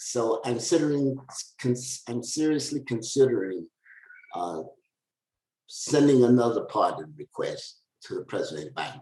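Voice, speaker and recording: A man at medium pitch has a dark, mellow tone with vocal fry and lively intonation. He talks at a fairly slow pace, leaving long, frequent pauses. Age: 70s. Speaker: author and former drug trafficker. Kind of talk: interview. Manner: halting.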